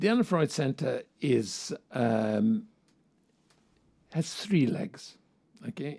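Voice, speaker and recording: The pace is very slow. A man does the talking. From Hungary. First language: Hungarian. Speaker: psychoanalyst and professor. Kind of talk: interview.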